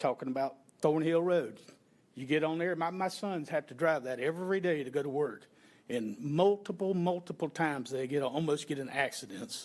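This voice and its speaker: A man speaks with a Florida accent in a fairly high voice, his loudness swinging widely. The recording is very clean, with a silent background. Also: ordinary pitch variation, moderate pace. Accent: Southern US (Florida). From Florida, Polk County area. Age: 60s. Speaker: member of the public at county hearing. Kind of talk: public comment at hearing. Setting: county commission meeting.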